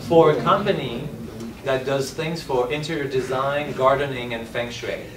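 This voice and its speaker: Amid audible room echo and noticeable background noise, a man speaks with fairly even intonation. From France. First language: French. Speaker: screenwriter and actor-director. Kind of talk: panel discussion.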